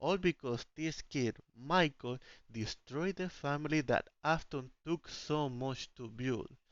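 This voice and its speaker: A man with a non-native accent and fairly high pitch, at a very slow pace with ordinary pitch variation. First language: not English. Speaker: indie game developer and YouTuber. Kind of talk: theory video narration; casual outro to viewers. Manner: reading from script; hesitant.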